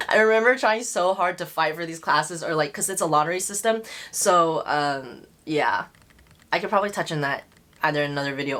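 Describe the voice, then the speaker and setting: A woman with an American accent, fairly low in pitch, with lively intonation at a fairly quick pace. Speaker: lifestyle vlogger. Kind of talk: casual vlog Q&A. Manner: fast.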